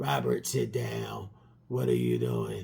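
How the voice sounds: A put-on robotic character voice from a man, very deep and raspy, with ordinary pitch variation and a fairly slow pace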